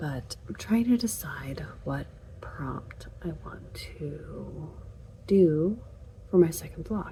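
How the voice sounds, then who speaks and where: A woman whispers at a very slow pace with long, frequent pauses and big swings in loudness, over noticeable background noise and audible room echo. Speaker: book vlogger. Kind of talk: casual vlog. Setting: at home late at night.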